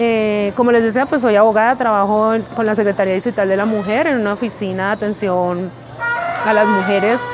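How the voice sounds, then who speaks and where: Very fast speech in a paisa accent, ordinary pitch variation, music in the background. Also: woman. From Colombia, Pereira. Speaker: lawyer. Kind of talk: documentary interview.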